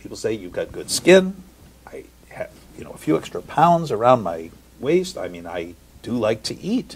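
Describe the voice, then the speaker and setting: A man speaks at a moderate pace, with long, frequent pauses. His loudness swings widely. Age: 60s. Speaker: health products entrepreneur. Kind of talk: interview.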